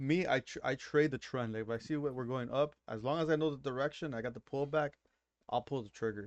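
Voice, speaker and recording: A man's medium-pitched voice with a Miami accent, moderate pace and ordinary pitch variation, in a dry, close sound with no echo. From Miami, Florida. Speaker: day trader. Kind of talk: casual chat.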